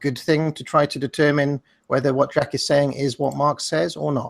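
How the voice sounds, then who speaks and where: In a very clean recording with a silent background, a man speaks with an English accent and a fairly high pitch. The sound is dry and close with no echo, and his intonation stays fairly even. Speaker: online debater. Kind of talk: debate. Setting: discord call.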